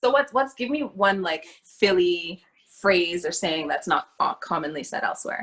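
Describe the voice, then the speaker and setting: A woman with a Toronto accent talks at a moderate pace in a medium pitch. Her pitch swings very widely. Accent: Canadian (Toronto). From Toronto, Canada. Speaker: creative artist. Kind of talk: casual interview chat.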